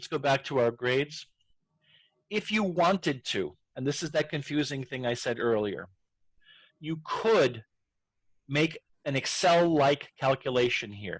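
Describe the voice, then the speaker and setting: Speaking at a fairly slow pace with long, frequent pauses, a man uses lively intonation and a fairly high pitch. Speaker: educational technology trainer. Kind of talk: tutorial.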